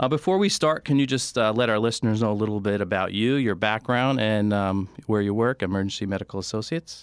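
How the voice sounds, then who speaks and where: Speaking at a very fast pace with hardly any pauses, a man with a fairly low pitch keeps a very even loudness and ordinary pitch variation in a very clean recording with a silent background. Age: 50s. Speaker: radio talk show host. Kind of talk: radio interview. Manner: halting, many fillers.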